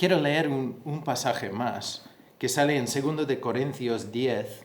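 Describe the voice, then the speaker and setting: With a non-native accent, a man speaks very slowly at a medium pitch, and the room echo is audible. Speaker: pastor. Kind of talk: sermon. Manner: halting, repeats words.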